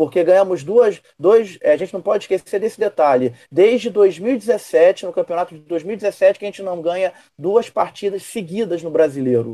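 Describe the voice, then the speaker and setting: A man speaks in a high-pitched voice with a dark, mellow tone, and his loudness swings widely. The sound is dry and close with no echo, and he barely pauses. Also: lively intonation, moderate pace. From Rio de Janeiro, Brazil. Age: 40s. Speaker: teacher, football fan. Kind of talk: casual chat.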